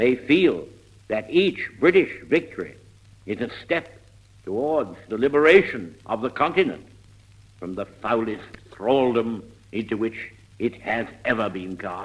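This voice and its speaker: At a fairly slow pace, a man with a medium pitch speaks in a solemn tone, his pitch swinging very widely between long, frequent pauses. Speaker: wartime statesman. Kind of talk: wartime radio address. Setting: old radio broadcast recording. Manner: slow, solemn, oratorical.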